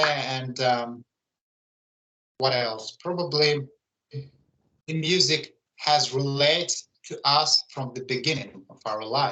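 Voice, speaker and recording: Speaking at a very slow pace with long, frequent pauses, a man uses a fairly high pitch, a bright, sharp tone, ordinary pitch variation and big swings in loudness. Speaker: musician and channel host. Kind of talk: casual online interview. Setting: online live video call. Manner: halting, many fillers.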